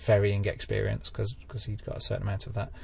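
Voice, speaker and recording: The speaker is a man. He has an English accent. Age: 40s. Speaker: amateur pilot. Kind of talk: interview.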